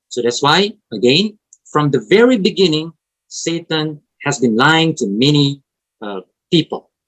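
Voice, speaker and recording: Someone with an Indonesian accent speaks at a fairly slow pace with long, frequent pauses. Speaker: preacher. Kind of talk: sermon.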